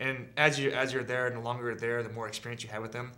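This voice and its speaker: A man rattles off his words at a very fast pace in a monotone, flat intonation. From Southern California. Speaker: army veteran. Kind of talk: interview answer. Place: studio.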